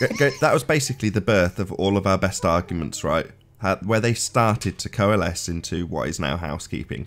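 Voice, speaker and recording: A man's fairly low, normal speaking voice, fairly quick in pace, with lively intonation. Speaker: debate show host. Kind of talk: casual chat.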